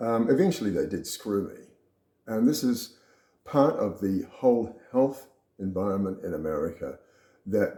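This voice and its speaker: With an Australian accent, a man talks at a moderate pace, his medium-pitched voice moving in a lively way, with long, frequent pauses and big swings in loudness. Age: 70s. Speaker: retired businessman sharing health story. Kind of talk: personal talk to camera. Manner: casual, with fillers.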